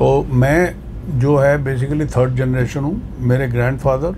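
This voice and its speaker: A man's medium-pitched voice with fairly even intonation, amid noticeable background noise and audible room echo. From Delhi, India. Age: 70s. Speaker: market traders' association president and shopkeeper. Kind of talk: interview.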